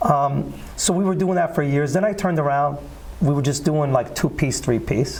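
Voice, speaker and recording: Speaking at a moderate pace with a New Jersey accent, a man uses a fairly high pitch, ordinary pitch variation and very even loudness. Noticeable background noise and audible room echo are present. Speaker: singer. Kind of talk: interview. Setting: studio.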